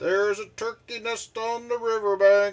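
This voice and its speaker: In a loud, bellowing put-on character voice, a man holds a high pitch with monotone, flat intonation at a moderate pace. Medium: read story.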